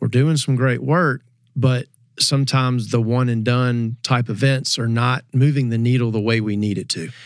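A man with a normal speaking voice talks at a medium pitch and moderate pace, with fairly even intonation. The recording is very clean with a silent background. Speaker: Ducks Unlimited staffer. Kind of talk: casual panel discussion.

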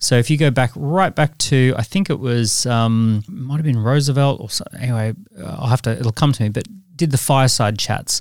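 The speech moves at a moderate pace, and its pitch varies in an ordinary way. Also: man, dry, close sound with no echo, very clean recording, silent background. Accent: Australian. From Australia. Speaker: entrepreneur and author. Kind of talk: interview.

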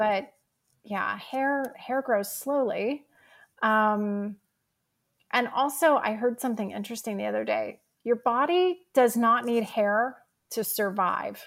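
Very slowly and with long, frequent pauses, a woman talks at a fairly high pitch with ordinary pitch variation on a very clean recording with a silent background. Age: 50s. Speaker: pilates instructor and wellness entrepreneur. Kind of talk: casual interview.

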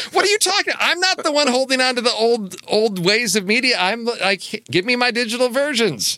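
A man talks in a raised, projected voice at an extremely high pitch for a man, with lively intonation and very even loudness. His pace is fairly quick with hardly any pauses, over noticeable background noise. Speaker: podcast co-host. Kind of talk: casual chat.

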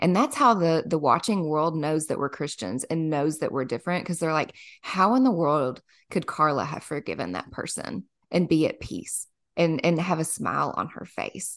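In an American accent, a woman speaks at a moderate pace with a very deep, low pitch. Her intonation is lively, and the background is quiet. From US South, small-town Kentucky. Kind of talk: casual faith interview.

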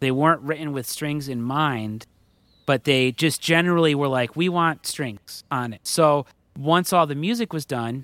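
A man speaks in a plain, everyday voice at a moderate pace, with ordinary pitch variation. The recording is very clean and dry, close and echo-free, over a silent background. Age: 30s. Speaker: record producer and audio engineer. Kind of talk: interview.

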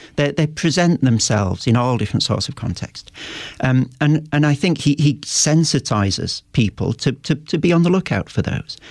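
A man in a plain, everyday voice speaks at a fairly high pitch and a moderate pace, with lively intonation and very even loudness. The sound is dry and close with no echo. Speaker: professor and author. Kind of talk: interview.

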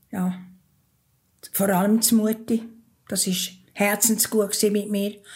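A woman speaks in a Bernese accent, very slow and monotone, with long, frequent pauses. Her voice is somewhat breathy. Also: medium pitch for a woman, very clean recording, silent background. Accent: Bernese Swiss German. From Switzerland, Thurgau. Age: 80s+. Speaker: interviewee telling her life story. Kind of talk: personal testimony in an interview. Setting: kitchen at her home.

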